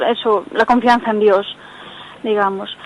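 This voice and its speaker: Against noticeable background noise, a woman speaks in a fairly high voice with monotone, flat intonation. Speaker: radio caller. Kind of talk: phone-in question. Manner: fast.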